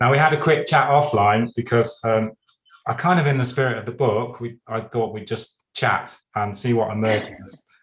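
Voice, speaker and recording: Somewhat breathy, a man speaks at medium pitch. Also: ordinary pitch variation, moderate pace. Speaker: podcast host. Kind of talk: casual interview chat.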